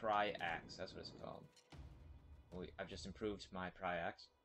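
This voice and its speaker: Over music in the background, a man speaks with flat, monotone intonation in a fairly low voice. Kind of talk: casual gameplay commentary. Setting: laptop built-in microphone.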